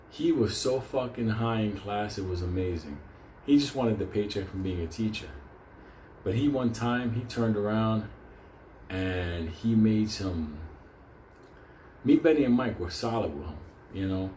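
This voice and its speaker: A man at a moderate pace with long, frequent pauses, amid noticeable background noise and audible room echo. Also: fairly low pitch for a man, ordinary pitch variation. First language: Spanish. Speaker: storyteller. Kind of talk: casual storytelling monologue. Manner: animated.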